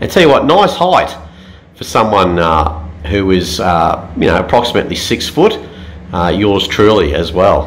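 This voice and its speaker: Light background noise runs under this clip. A man talks at a moderate pace. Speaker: travel reviewer. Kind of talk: casual vlog chat. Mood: playful, humorous. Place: bathroom. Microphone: phone near.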